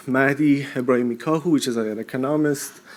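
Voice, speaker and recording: A man with a Persian accent speaks at a medium pitch with fairly even intonation. Noticeable background noise is present. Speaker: postdoctoral researcher. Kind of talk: short conference pitch.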